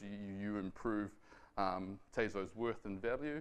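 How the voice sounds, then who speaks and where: Speaking at a fairly quick pace, a man with a New Zealand accent uses a fairly low pitch. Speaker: software developer. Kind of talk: tech talk. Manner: fast; hesitant with fillers and repetitions.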